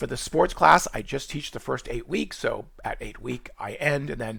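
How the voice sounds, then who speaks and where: Talking at a fairly quick pace, a man speaks with a Boston accent. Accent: New England (Boston) accent, still present. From Boston, New England. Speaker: college nutrition instructor. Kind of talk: tutorial. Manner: fast; non-rhotic, drops r's.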